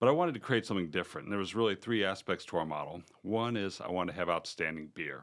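With an American accent, a man talks at a very fast pace with hardly any pauses, his very deep, low pitch showing ordinary variation on a very clean recording with a silent background. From Charlotte area, North Carolina. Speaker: brewery owner and founder. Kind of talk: casual interview.

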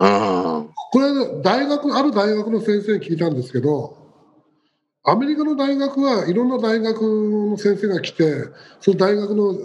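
The speech goes at a moderate pace with very wide pitch swings. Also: man. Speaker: business coach. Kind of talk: panel discussion.

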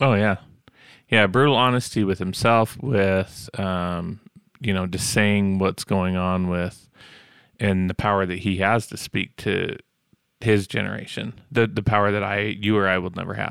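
A man's fairly low, fairly slow, a plain, everyday voice, on a very clean recording with a silent background. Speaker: podcast co-host. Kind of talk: casual interview.

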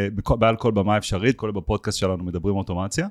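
Very fast speech from a man with fairly low pitch and ordinary pitch variation comes in a very clean recording with a silent background and a dry, close sound with no echo. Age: 40s. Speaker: automation agency owner. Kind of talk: podcast interview. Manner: halting with repetitions.

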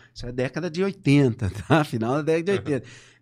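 An unremarkable speaking voice from a man, fairly high in pitch with lively intonation, against a quiet background. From Brazil, São Paulo state (Limeira). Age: 50s. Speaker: political scientist. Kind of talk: interview.

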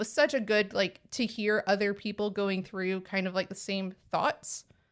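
A woman at medium pitch with a slight Texan accent, talking at a moderate pace. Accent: Texas accent, slight. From Texas. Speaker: podcast host. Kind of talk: casual chat.

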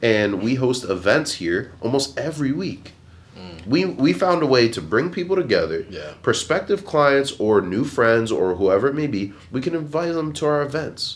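A man with an American accent and vocal fry, medium in pitch with very wide pitch swings, at a moderate pace with hardly any pauses. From Pennsylvania, Bethlehem area. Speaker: photographer and entrepreneur. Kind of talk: casual chat.

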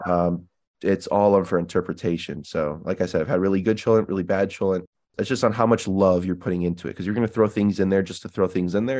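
With an American accent, a man speaks at a very fast pace in a very deep, low pitch, his intonation fairly even against a quiet background. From Illinois, US. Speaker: podcast guest. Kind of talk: casual chat. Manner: halting, many fillers.

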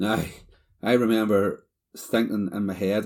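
A man speaks with a Northern Irish accent. His fairly low voice stays flat and monotone. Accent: Northern Irish (Ulster). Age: 40s. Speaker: cancer survivor. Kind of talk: personal testimony.

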